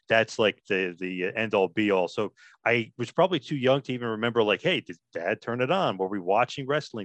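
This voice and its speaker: A man with a New Jersey accent talks at a fairly quick pace. His pitch is medium, with ordinary variation. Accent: New Jersey American. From New Jersey, US. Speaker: wrestling podcaster. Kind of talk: casual interview chat.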